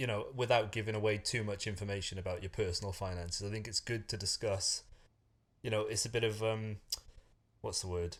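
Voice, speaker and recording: A man speaks at a fairly quick pace with a fairly low pitch and fairly even intonation. His voice is somewhat breathy, in a very clean recording with a silent background. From Wales. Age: 30s. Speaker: personal finance YouTuber. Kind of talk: casual conversation.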